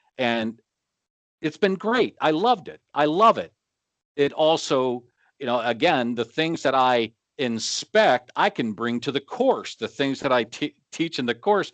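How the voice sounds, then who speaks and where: Speaking at a fairly slow pace, a man with a plain, everyday voice uses lively intonation and a fairly high pitch, captured dry and close with no echo against a quiet background. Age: 60s. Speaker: flooring inspector and instructor. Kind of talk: casual chat.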